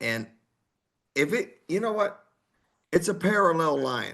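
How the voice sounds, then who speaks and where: The voice swings very widely in pitch, sounding animated at a fairly slow pace. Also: man. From Texas. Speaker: heavy metal singer. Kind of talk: casual interview chat.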